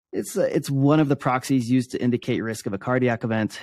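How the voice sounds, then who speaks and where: In a very clean recording with a silent background and a dry, close sound with no echo, a man speaks at a moderate pace in a medium pitch with ordinary pitch variation, a plain, everyday voice. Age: 30s. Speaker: endurance athlete and keynote speaker. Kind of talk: interview conversation.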